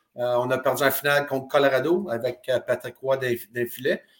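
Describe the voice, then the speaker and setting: Bright and sharp in tone, a man talks with a Quebec accent. His pitch is medium and his pace fairly slow. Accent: Québécois French. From Quebec (Drummondville). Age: 50s. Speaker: retired hockey player. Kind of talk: interview.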